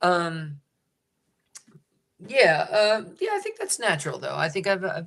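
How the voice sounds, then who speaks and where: A man speaks with an American accent. His pace is fairly slow, broken by long, frequent pauses. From upstate New York. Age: 30s. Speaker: singer-songwriter. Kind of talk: interview conversation. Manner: halting, many false starts.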